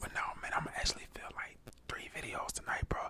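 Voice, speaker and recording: A man talks at a very fast pace. Loud noise fills the background. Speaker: ASMR creator. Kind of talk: casual vlog chat. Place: home room. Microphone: lapel.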